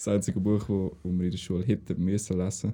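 In a Swiss accent, a man speaks with a very deep, low pitch. His tone is dark and mellow, and his intonation is monotone and flat. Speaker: podcast co-host, military recruit. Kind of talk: casual chat.

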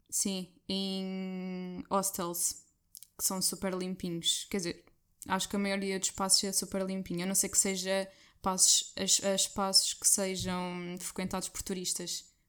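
In a very clean recording with a silent background, a woman speaks at a fairly slow pace and medium pitch, her intonation monotone and flat. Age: 20s. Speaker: guest traveller, finance worker. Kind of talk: casual chat.

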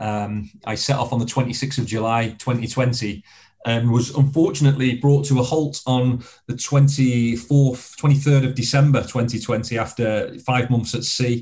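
Speaking at a fairly slow pace with a Lancashire accent, a man has a medium pitch, a dark, mellow tone, a somewhat breathy quality and fairly even intonation. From northern England, Blackpool, Lancashire. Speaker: former soldier and extreme adventurer. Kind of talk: interview conversation.

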